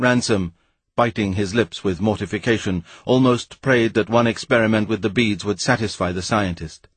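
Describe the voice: The background stays quiet. It is plain reading aloud, with ordinary pitch variation.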